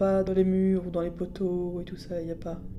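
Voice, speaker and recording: A woman speaks at a moderate pace in a flat, monotone delivery at a medium pitch, with music playing in the background. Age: 40s. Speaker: blind interviewee. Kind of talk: interview testimony.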